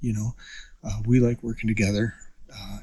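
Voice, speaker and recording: A man whispers at a moderate pace. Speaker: hunter. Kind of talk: casual chat. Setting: outdoors. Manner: whispering.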